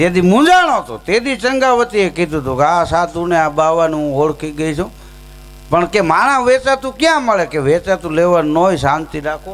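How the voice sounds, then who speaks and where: This male voice sits high in pitch. Its intonation rises and falls in a lively way. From Saurashtra, Gujarat. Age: 40s. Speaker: folk humorist and storyteller. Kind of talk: comic storytelling at devotional program.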